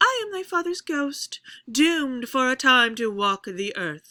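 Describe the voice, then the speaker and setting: A woman's put-on character voice, high in pitch with very wide pitch swings, at a moderate pace. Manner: falling pitch, solemn.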